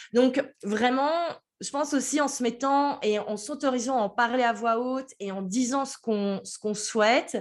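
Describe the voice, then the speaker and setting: A woman speaks at a high pitch. The background is quiet. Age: 30s. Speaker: business mentor. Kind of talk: interview.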